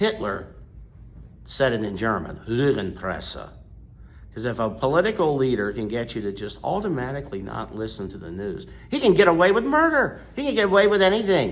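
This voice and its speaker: In an American accent, a man at medium pitch talks at a fairly quick pace with very wide pitch swings, big swings in loudness and vocal fry, amid audible room echo. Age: 60s. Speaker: priest. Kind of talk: sermon. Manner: forceful.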